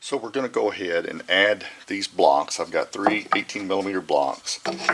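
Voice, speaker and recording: There's noticeable background noise. A man talks over it. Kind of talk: tutorial. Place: workshop.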